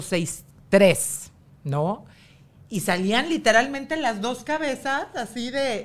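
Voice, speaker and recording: This voice has a Mexican accent and very wide pitch swings. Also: woman. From Mexico. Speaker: TV presenter and model. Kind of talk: casual chat.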